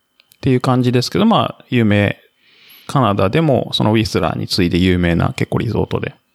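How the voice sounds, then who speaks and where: A man with a plain, everyday voice talks fairly quickly at a medium pitch with lively intonation, the sound dry and close with no echo. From Japan, Kamakura, Kanagawa. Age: 40s. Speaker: ultramarathon runner and office worker posted abroad. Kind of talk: casual interview chat.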